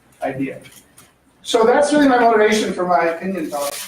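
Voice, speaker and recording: The man keeps up a fairly quick pace. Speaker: economist giving a seminar; professor. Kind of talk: seminar talk. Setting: lecture room with microphone. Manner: fast; hesitant with fillers.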